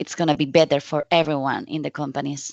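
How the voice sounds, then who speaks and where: A woman speaks with a Spanish accent. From Spain. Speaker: data visualization specialist, conference speaker. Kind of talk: conference talk. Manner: halting, with fillers.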